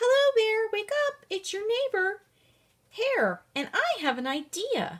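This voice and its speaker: Putting on a squeaky character voice, a woman speaks at an extremely high pitch and a fairly slow pace. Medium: read story. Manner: cheerful, wheedling.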